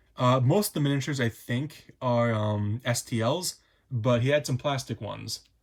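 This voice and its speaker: A somewhat breathy man talks at a medium pitch with ordinary pitch variation in a very clean recording with a silent background. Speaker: hobby YouTuber. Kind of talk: casual show-and-tell. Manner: fast; hesitant, many fillers.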